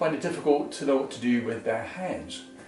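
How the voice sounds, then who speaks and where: A man speaks at a fairly quick pace while music plays in the background. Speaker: tai chi therapist and meditation teacher.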